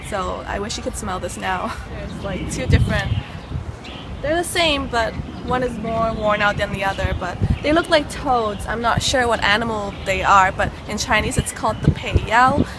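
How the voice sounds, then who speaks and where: A woman's fairly high voice at a moderate pace, lively intonation, noticeable background noise. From Canada, Toronto. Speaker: travel show host. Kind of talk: guided tour. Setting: outdoors in a park. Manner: quiet, hushed in monument; hesitant, many fillers.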